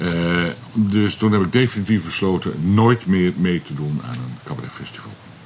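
The intonation is lively, and there is noticeable noise in the background. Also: man, very deep, low pitch for a man, moderate pace. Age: 60s. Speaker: comedian. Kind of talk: casual chat. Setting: outdoors.

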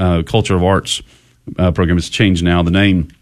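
In a Texan accent, a man speaks at a very fast pace. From Texas (Goliad). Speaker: family advocacy group founder. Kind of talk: radio interview. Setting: studio.

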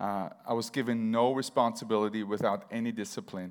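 In a very clean recording with a silent background, a man with an Austrian accent speaks at a medium pitch with fairly even intonation. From Vienna, Austria. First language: German. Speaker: church member sharing testimony. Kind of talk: testimony.

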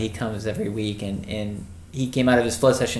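A normal speaking voice keeps a moderate pace with fairly even intonation. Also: man. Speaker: podcast host. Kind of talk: casual chat.

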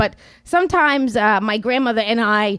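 A woman's fairly high voice at a very slow pace, lively in intonation, dry and close with no echo, on a very clean recording with a silent background. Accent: New York. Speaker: storyteller and writer. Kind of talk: live storytelling. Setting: stage with audience. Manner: halting, many fillers.

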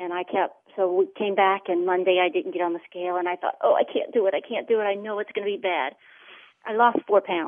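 At a fairly quick pace, a woman with an ordinary speaking voice talks at a medium pitch, with ordinary pitch variation. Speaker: client sharing weight loss testimony. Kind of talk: testimony.

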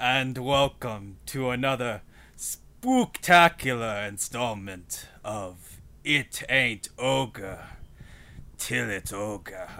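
A man slips into a put-on character voice at a medium pitch, speaking at a very slow pace. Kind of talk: podcast intro. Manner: spooky, playful.

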